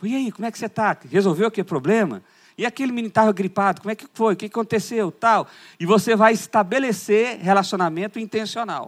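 On a very clean recording with a silent background, a man talks at a very fast pace with a high pitch and big swings in loudness. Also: ordinary pitch variation, dry, close sound with no echo. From Brazil, Goiás. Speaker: pastor. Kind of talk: conference sermon. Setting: church conference with audience.

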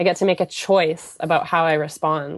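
Against a quiet background, a woman with a Canadian accent speaks with fairly even intonation. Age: 30s. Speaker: wellness mentor. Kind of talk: interview. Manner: hesitant with many fillers.

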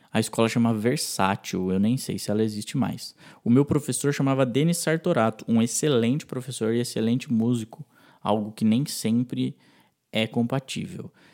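An ordinary speaking voice: a man at medium pitch, with ordinary pitch variation, on a very clean recording with a silent background. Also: moderate pace. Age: 20s. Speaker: music producer and musician. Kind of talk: recorded interview testimony.

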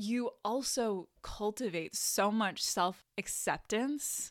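The recording of this woman's voice is very clean, with a silent background. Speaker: podcast host and mindset coach. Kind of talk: casual solo monologue. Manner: slow with pauses; frequent laughter.

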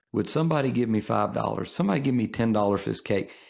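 This man's voice sits fairly low. The audio is very clean and the background silent. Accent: Mississippi. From northern Mississippi, DeSoto County. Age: 30s. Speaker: pastor and funeral director. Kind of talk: casual chat. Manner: halting, many fillers and repeats.

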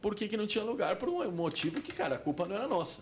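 Very fast and with very wide pitch swings, a man delivers his lines. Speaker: stand-up comedian. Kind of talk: casual chat.

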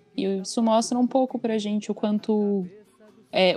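A woman speaks in a flat monotone at medium pitch and a moderate pace, with music playing behind her. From southern Brazil, Curitiba with Santa Catarina family. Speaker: journalist and translator. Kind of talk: casual chat.

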